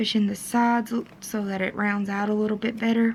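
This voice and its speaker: Speaking in a Kentucky accent, a woman keeps a moderate pace and medium pitch in a monotone, flat intonation. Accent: Kentucky twang. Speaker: DIY wedding vlogger. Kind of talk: tutorial. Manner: casual, with fillers.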